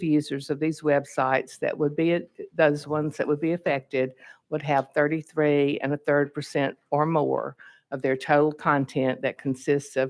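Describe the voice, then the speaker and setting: A woman with a Southern accent speaks at a moderate pace. Her pitch is very deep and low, and her intonation is fairly even. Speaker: state legislator, bill sponsor. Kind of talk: committee hearing testimony. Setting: legislative hearing room at podium.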